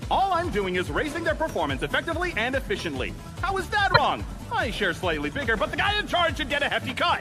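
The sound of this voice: A man races along in a cartoonish character voice at an extremely high pitch, with very wide pitch swings and few pauses. Clear music plays in the background.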